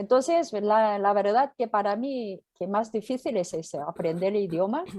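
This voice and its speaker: A woman talks in a Korean accent with a dark, mellow tone at a medium pitch. Her intonation is lively and her pace moderate. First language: Korean (speaking Spanish). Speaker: pastor and missionary. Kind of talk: interview. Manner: halting.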